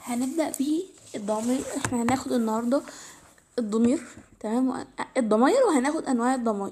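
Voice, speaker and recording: This woman has a high pitch and an Egyptian accent. She talks at a moderate pace with ordinary pitch variation and long, frequent pauses. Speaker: English teacher. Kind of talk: tutorial. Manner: halting, with self-corrections.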